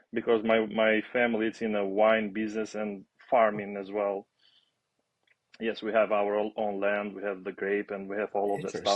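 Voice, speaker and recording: In an Albanian accent, a man speaks at a fairly low pitch with monotone, flat intonation. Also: moderate pace. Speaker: aviation maintenance student and former basketball player. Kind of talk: podcast interview. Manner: halting.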